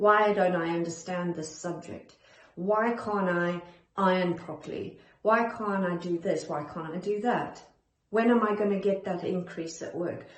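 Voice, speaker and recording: A calm, medium-pitched woman's voice at a fairly slow pace, fairly even in intonation, with audible room echo. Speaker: perfectionism coach. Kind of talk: self-help talk to camera. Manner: calm, centered.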